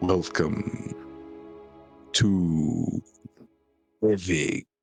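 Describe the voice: Faint music plays in the background as a man does a put-on character voice. It is booming and very deep, with a very low pitch.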